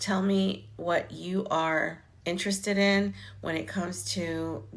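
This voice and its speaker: A woman's fairly low, lively voice at a very slow pace, with audible room echo. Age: 60s. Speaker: online business coach. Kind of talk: live stream talk to viewers. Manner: casual, conversational.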